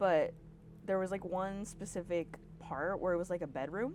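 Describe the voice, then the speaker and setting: A woman's fairly low-pitched voice with vocal fry, at a moderate pace. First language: Spanish. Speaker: podcast guest storyteller. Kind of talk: casual storytelling chat. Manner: animated.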